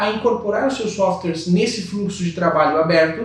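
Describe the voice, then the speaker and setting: A man with a Brazilian accent speaks in a high pitch, with ordinary pitch variation. Audible room echo and noticeable background noise fill the recording. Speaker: software company presenter. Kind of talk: webinar presentation. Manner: hesitant with fillers.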